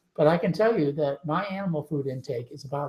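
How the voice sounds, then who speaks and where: A man with fairly high pitch, ordinary pitch variation, a somewhat breathy voice, and a fairly quick pace. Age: 60s. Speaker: physician and diet author. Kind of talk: live webinar interview. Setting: home, live webinar broadcast.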